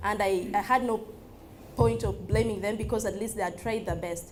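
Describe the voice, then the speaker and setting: With a Ugandan accent and some vocal fry, a woman talks with ordinary pitch variation in a room with audible echo. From Uganda, West Nile. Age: 20s. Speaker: social entrepreneur. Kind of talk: talk to an audience. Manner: hesitant, many fillers.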